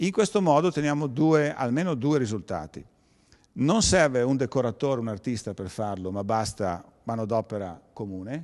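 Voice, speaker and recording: A man speaks at a moderate pace with long, frequent pauses and a medium pitch that swings very widely. The background is quiet. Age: 60s. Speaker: perception designer and event organizer. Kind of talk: lecture. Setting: museum evening talk with audience. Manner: halting.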